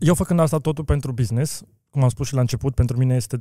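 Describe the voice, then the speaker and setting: Dry and close with no echo, a man's somewhat breathy voice sits at a medium pitch with a dark, mellow tone. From Romania (Brașov), then Austria from age seven. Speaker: car wheel business owner. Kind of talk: interview.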